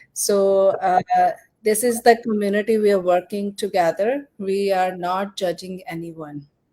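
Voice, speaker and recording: A woman with a Punjabi accent, her tone dark and mellow, at a fairly slow pace with fairly even intonation. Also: medium pitch for a woman. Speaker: live stream host, business promoter. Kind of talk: live stream interview. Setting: live online session.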